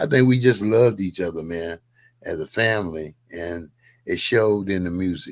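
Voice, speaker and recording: A man speaks in a very deep, low voice. The recording is very clean, with a silent background. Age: 70s. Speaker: musician, drummer. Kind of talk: casual chat. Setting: podcast interview.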